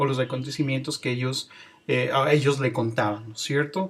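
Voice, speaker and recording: Intonation stays fairly even. The voice is somewhat breathy. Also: man. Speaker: teacher. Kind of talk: lecture.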